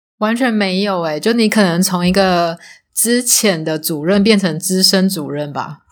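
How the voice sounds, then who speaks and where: In a very clean recording with a silent background, a woman with a Taiwanese accent speaks at medium pitch and moderate pace with ordinary pitch variation. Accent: Taiwanese Mandarin. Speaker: former casino supervisor. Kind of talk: casual interview chat.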